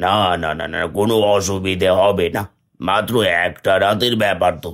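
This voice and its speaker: A man's cartoonish character voice, fairly low in pitch, with fairly even intonation at a moderate pace, on a very clean recording with a silent background. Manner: menacing.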